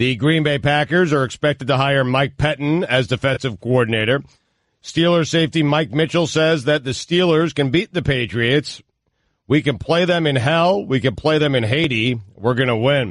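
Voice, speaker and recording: A man speaks at a moderate pace with a fairly high pitch and ordinary pitch variation in a sing-song lilt. His loudness stays very even against a quiet background. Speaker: sports news update anchor. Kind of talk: news reading. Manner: sing-song broadcasting voice.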